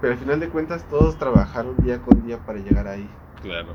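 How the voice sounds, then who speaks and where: Against noticeable background noise, a man with a Mexico City accent speaks at a moderate pace with lively intonation. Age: 20s. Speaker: industrial engineer. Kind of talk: casual chat.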